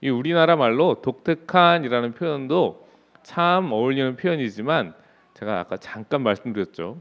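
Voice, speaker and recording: Lively intonation and a moderate pace from a man with a medium pitch. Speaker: pastor. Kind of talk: sermon.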